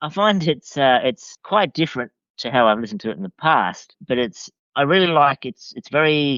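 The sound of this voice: In a dry, close sound with no echo, a man of medium pitch speaks at a moderate pace with lively intonation and a fairly bright tone.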